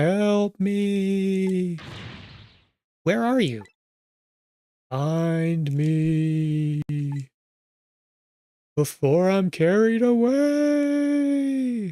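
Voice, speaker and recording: In a put-on character voice at middle pitch, the speaker goes at a very slow pace with long, frequent pauses. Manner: frail, weak, pleading.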